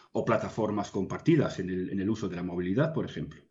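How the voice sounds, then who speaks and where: This man's somewhat breathy voice moves along at a fairly quick pace. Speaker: consulting executive, guest. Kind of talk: interview answer.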